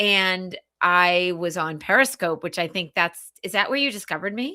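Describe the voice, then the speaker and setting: At a moderate pace, a woman with a Boston accent speaks at medium pitch with ordinary pitch variation. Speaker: business coach. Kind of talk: casual chat.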